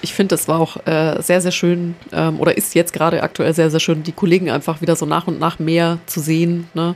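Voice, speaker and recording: With hardly any pauses, a woman speaks at a fairly quick pace. Her pitch is fairly low and her intonation monotone and flat. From Nuremberg, Franconia, Germany. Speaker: cultural centre project coordinator. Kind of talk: casual chat.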